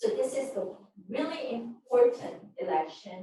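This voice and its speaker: A woman with a Korean accent speaks with lively intonation in a dark, mellow, somewhat breathy tone, with audible room echo. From Korea and Japan. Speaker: politician. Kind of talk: press conference speech.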